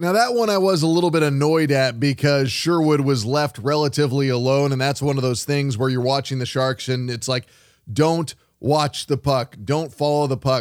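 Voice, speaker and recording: A plain, everyday voice moves at a fairly quick pace. Its pitch varies an ordinary amount. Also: man. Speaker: sports radio host. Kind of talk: post-game sports radio show recap and analysis. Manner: conversational, analytical.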